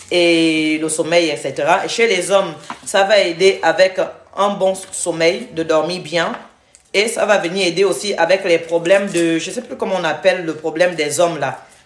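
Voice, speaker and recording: A woman with a non-native accent speaks at a moderate pace in a fairly low pitch. Her intonation is fairly even, with noticeable background noise behind her. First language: not French (speaking French). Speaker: health and weight-loss vlogger. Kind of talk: cooking tutorial livestream. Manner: casual, halting.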